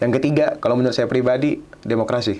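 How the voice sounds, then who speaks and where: Here a man speaks at a medium pitch. His pace is very fast. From Indonesia, West Kalimantan (Pontianak); West Kalimantan, Indonesia. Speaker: student union leader; guest. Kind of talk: podcast interview. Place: studio.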